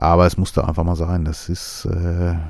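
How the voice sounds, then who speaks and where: A man talks softly. His pitch is very deep and low. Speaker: podcast host. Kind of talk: casual monologue. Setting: studio. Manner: soft-spoken.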